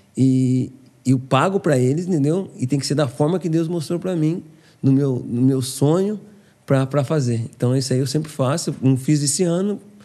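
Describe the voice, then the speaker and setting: A man with a dark, mellow tone, fairly high pitch and ordinary pitch variation, at a moderate pace, over a quiet background. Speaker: former footballer. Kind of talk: casual interview chat.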